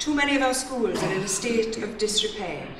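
A woman at a moderate pace, with audible room echo and light background noise. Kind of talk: political conference speech. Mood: critical, persuasive. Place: hall. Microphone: podium.

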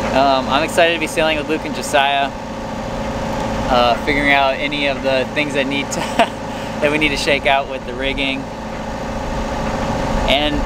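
Loud background noise surrounds a man speaking at a moderate pace. He leaves long, frequent pauses, and the sound is dry with no echo. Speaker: vlogger. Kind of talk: casual vlog chat. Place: boat. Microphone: phone near.

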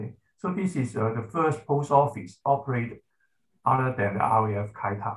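Somewhat breathy speech moves at a fairly slow pace with ordinary pitch variation. The background is quiet. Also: man. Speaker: professor giving presentation. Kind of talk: presentation. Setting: video call. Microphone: video call.

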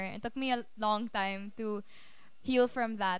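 A woman speaks at a fairly high pitch with fairly even intonation, and the sound is dry with no echo. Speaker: spoken word poet. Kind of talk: casual introduction to a live audience. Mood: warm, reflective. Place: hall.

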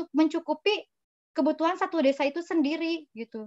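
Moderate pacing from a woman against a quiet background. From West Java, Indonesia (Sundanese). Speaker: graduate student; webinar speaker. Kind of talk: interview with slide presentation. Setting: video call from her apartment. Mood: friendly, smiling. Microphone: video call.

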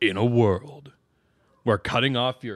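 A man performs a put-on character voice. His pitch is medium and his pace fairly slow. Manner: dramatic.

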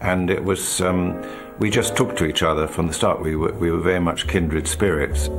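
Clear music plays in the background as the speaker talks at a fairly quick pace with ordinary pitch variation. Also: man. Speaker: actor recalling a friend. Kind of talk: interview answer. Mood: reflective, tender. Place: home room. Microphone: lapel.

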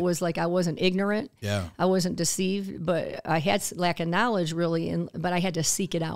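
At a fairly quick pace, a woman speaks with a fairly low pitch. The background is quiet. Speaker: podcast guest, health coach. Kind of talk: interview answer. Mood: earnest, reflective. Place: studio. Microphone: studio mic.

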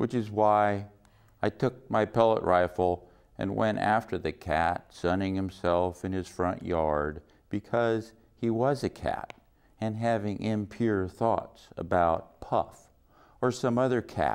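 A man's deadpan tone, fairly low pitch and very slow pace. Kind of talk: poetry reading, dark wry narrative poem delivered as a confessional story. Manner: deadpan, dry ironic delivery with matter-of-fact tone over dark humor.

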